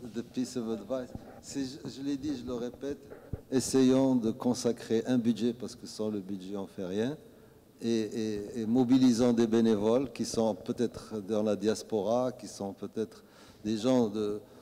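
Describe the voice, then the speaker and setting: A man speaks fairly slowly at medium pitch in a dark, mellow tone. His intonation is fairly even, while his loudness swings widely. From Morocco. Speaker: author. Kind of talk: answering audience questions at book talk. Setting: book club event with audience.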